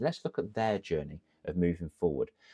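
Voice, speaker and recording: Dry and close with no echo, the recording captures a man with an English accent speaking at a fairly quick pace in an animated tone. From England. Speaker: confidence coach, ex-teacher. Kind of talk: tutorial.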